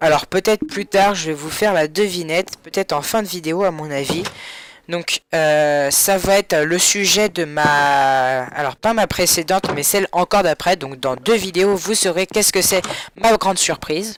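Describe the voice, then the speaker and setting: Recorded close and dry with no echo, the speech goes at a fairly slow pace, its pitch varying in an ordinary way. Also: man, high pitch for a man. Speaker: gaming YouTuber. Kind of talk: gameplay commentary. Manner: soft-spoken.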